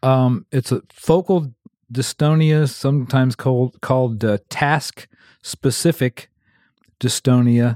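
Dry and close with no echo, the recording has a man speaking at a medium pitch in a dark, mellow tone, at a very slow pace with ordinary pitch variation. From Adams County, Pennsylvania. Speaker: banjo player. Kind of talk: interview.

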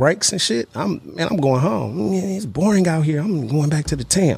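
Here a man talks at a moderate pace, somewhat breathy. The recording is very clean, with a silent background. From Oakland, California. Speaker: former pro football player and coach. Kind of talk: casual interview.

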